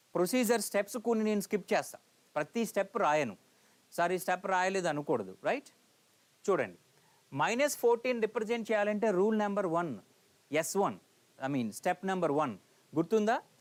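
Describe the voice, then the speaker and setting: Lively intonation and very even loudness mark this man's high-pitched speech. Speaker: lecturer. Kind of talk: lecture. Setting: live online class. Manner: code-switching Telugu and English.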